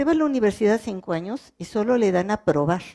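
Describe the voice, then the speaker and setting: On a very clean recording with a silent background and a dry, close sound free of echo, a woman speaks at medium pitch with a dark, mellow tone, lively intonation and a moderate pace. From French-speaking country. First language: French (speaking Spanish). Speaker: legal translator. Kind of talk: panel talk. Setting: cultural centre with audience.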